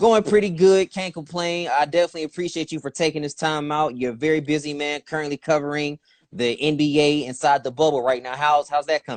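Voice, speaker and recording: Speaking at a very fast pace with hardly any pauses, a man with a slight Southern accent has a fairly high pitch and ordinary pitch variation, in a dry, close sound with no echo. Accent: slight southern twang. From Youngstown, Ohio. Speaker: interviewer. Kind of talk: casual interview.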